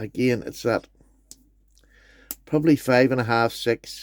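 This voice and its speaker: A man with a Northern Irish accent speaks at medium pitch and a fairly slow pace, in a dry, close sound with no echo. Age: 60s. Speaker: knife collector YouTuber. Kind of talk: product review. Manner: enthusiastic.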